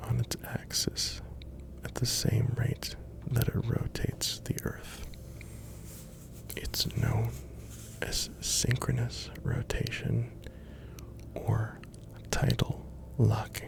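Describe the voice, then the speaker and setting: Whispering comes at a very slow pace with long, frequent pauses. Noticeable background noise sits behind it. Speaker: ASMR content creator. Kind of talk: ASMR sleep-aid fact narration. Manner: soft-spoken, whispered.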